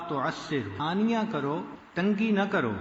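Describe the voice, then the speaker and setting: Lively intonation from a man over noticeable background noise. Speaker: Islamic scholar, Sufi preacher. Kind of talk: religious lecture.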